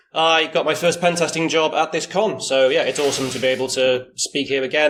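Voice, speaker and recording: Noticeable background noise surrounds this man. He speaks at a fairly quick pace in a fairly high pitch. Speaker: security conference speaker. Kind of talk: conference talk. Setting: talk room with audience, no mic. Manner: loud, projecting; casual, many fillers. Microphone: no microphone in the room.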